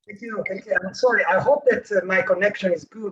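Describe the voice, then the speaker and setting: This man has a high pitch and an Italian accent. His intonation stays fairly even. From Italy. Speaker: academic researcher. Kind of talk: conference talk. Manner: halting, many fillers. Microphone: remote connection, said to sound fine.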